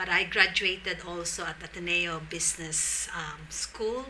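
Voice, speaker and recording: Noticeable background noise sits behind a woman talking fairly slowly with fairly even intonation. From Philippines, Tagalog region. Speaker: social entrepreneur. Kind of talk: interview.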